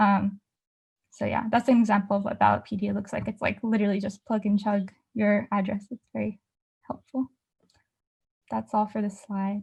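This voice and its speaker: Speaking at a moderate pace with long, frequent pauses, a woman has a somewhat breathy medium-pitched voice and monotone, flat intonation. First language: not English. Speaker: student journalist. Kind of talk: presentation with slides. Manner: many fillers (um, like).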